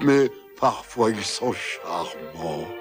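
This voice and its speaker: Over clear background music, a man with a fairly low pitch puts on a character voice. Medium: fan dub. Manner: hesitant, halting.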